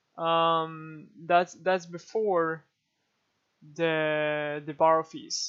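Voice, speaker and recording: Over a quiet background, a man talks at a very slow pace in a high pitch, his bright, sharp tone delivered with monotone, flat intonation. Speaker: day trader recapping trades. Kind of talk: casual video recap. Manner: hesitant, many fillers.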